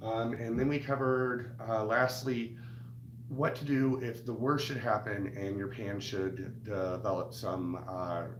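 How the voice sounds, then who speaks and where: Over noticeable background noise and audible room echo, a man speaks at a medium pitch and a fairly slow pace with fairly even intonation. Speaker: cooking channel host. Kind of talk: live stream tutorial. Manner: halting, many fillers.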